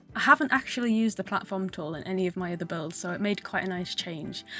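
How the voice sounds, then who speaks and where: Nervous-sounding woman with a northern English accent, very fast pace, ordinary pitch variation. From Northern England. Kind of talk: casual gaming voiceover. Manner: nervous, chatty.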